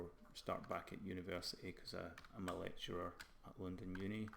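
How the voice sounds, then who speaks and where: Monotone, flat delivery in a very deep, low male voice. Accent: slight Scottish. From Scotland. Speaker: game art lecturer and live streamer. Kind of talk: casual live stream chat. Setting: live stream.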